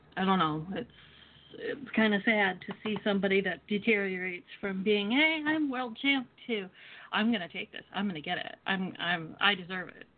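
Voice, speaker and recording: A woman speaks at a medium pitch and a moderate pace, with lively intonation. Her loudness swings widely, and there is noticeable background noise. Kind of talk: casual banter, wrestling promo talk. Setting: phone call.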